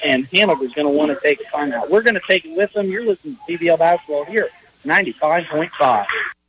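Over noticeable background noise, a man with a high pitch talks at a fairly quick pace, the sound dry and close with no echo. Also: lively intonation. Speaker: radio sports play-by-play announcer. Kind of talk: live play-by-play basketball commentary. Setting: gym broadcast from the tournament. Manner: fast, rapid-fire, animated play-by-play delivery.

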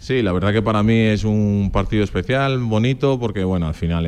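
Fairly quick in pace, a man is speaking. He has an Extremaduran accent. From Extremadura, Spain (born in Portugal). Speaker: professional footballer. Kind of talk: radio interview.

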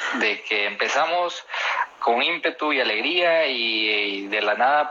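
A man's voice with ordinary pitch variation, over noticeable background noise. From Guatemala. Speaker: barista and coffee taster. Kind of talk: interview.

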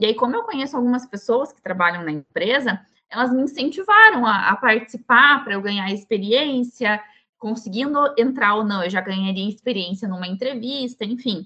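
An ordinary speaking voice from a woman, fairly high in pitch, at a moderate pace, with ordinary pitch variation and big swings in loudness. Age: 20s. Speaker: chemical engineering student and tech team lead. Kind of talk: podcast interview.

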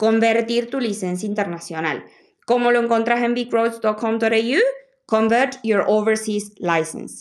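A woman at a very slow pace and fairly high pitch. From Argentina. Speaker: podcast host. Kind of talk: tutorial; casual interview chat. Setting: in person, audio only.

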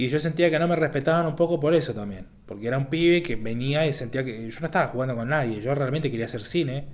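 Speaking at a very fast pace with hardly any pauses, a man uses a fairly high voice with ordinary pitch variation. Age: 20s. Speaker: film director. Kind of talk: casual chat.

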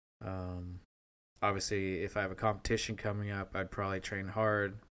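The recording is very clean and the background silent. The pace is moderate. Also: man. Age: 30s. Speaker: podcast host. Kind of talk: casual monologue. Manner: halting, many fillers.

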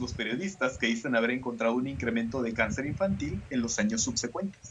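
Speaking with a Mexican accent, a man keeps a fairly quick pace. His voice is somewhat breathy, with lively intonation. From Mexico. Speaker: podcast host. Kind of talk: casual chat with scripted narration.

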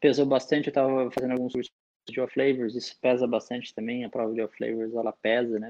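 Speaking at a fairly quick pace, a man uses a medium pitch in a monotone, flat delivery. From interior of São Paulo state (Araras). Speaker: sommelier, national champion. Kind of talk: casual interview chat. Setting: remote recording.

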